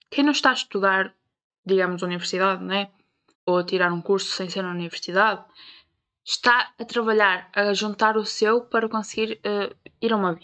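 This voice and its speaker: A woman with a European Portuguese accent speaks at a moderate pace with long, frequent pauses. Her medium-pitched voice has a bright, sharp tone and fairly even intonation. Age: 20s. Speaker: podcast host. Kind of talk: casual monologue.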